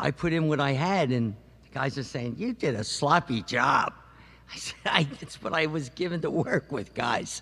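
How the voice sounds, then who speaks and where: This man's voice sits fairly high, with a bright, sharp tone and lively intonation. He talks at a moderate pace, and his loudness swings widely. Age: old. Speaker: retired musician and business owner. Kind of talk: testimony.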